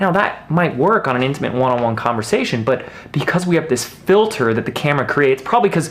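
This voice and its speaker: Lively intonation and an energetic tone carry this fairly quick delivery, heard over noticeable background noise. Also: man. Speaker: video marketing coach. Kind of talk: tutorial. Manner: fast; loud, energetic.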